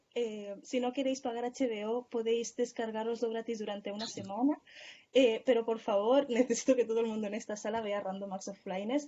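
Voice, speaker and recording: A woman's voice sits fairly high in pitch. She talks at a fairly quick pace with fairly even intonation. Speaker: speaker in an online journalism course. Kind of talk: Q&A discussion in an online course. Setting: video call. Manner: fast.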